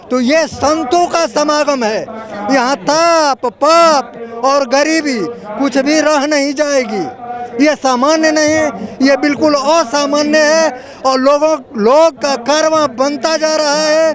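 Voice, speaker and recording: With crowd noise in the background, a man speaks at an extremely high pitch with fairly even intonation. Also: very even loudness. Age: 70s. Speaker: rally attendee. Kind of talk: street interview. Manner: formal.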